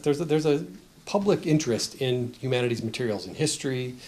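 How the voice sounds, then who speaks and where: A man with an American accent talks at a fairly quick pace and a medium pitch. Audible room echo is present. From United States. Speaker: professor presenting research report. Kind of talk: conference presentation. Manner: hesitant, many fillers and restarts.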